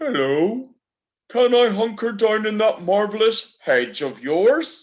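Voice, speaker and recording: Putting on a character voice, a man speaks at a high pitch. He keeps a fairly slow pace. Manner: loud.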